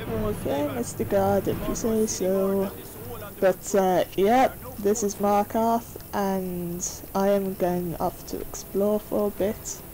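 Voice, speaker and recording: A woman speaks at a very slow pace and medium pitch. Her pitch varies in an ordinary way over noticeable background noise. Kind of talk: gameplay commentary. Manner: hesitant, many fillers.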